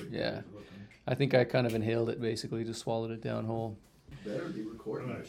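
Over background music, a man speaks at a very fast pace with long, frequent pauses and fairly even intonation. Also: medium pitch for a man. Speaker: podcast host. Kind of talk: casual chat.

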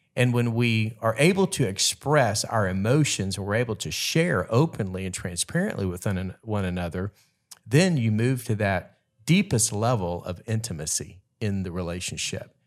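On a very clean recording with a silent background, a man with a fairly low voice speaks at a moderate pace in a normal speaking voice with lively intonation. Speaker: pastor and marriage podcast co-host. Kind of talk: casual chat.

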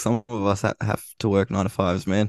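Pitched fairly low, a man talks with little pitch movement. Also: fairly quick pace.

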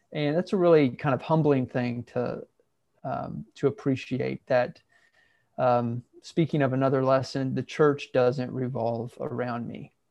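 A man with an American accent, medium pitch and an unremarkable speaking voice, at a fairly slow pace. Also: fairly even intonation. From US Midwest, southeast Ohio. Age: 30s. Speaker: minister. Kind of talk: casual interview.

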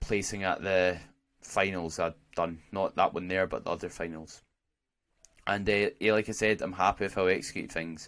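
Speaking with a Scottish accent, a man with a fairly low voice keeps a moderate pace and fairly even intonation, leaving long, frequent pauses in a very clean recording with a silent background. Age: 20s. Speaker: podcast host and natural bodybuilder. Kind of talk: casual solo podcast monologue.

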